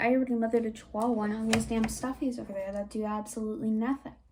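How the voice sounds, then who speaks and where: Noticeable background noise sits behind a woman talking at a very fast pace. Her pitch is fairly high. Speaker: commentary youtuber. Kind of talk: casual commentary.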